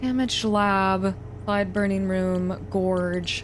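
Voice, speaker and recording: With audible room echo around her, a woman talks very slowly. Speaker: gaming video creator. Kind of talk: let's play commentary.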